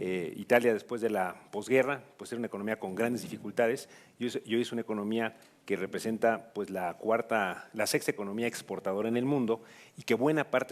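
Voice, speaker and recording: Against a quiet background, a man with medium pitch talks very fast with fairly even intonation. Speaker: government official. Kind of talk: panel discussion. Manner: formal.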